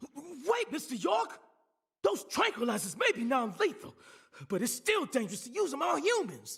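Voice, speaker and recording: Doing a put-on character voice with a drawling Southern US accent, a man speaks at an extremely high pitch and a moderate pace, with very wide pitch swings. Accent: rural Southern American drawl. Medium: video game. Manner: folksy, drawling.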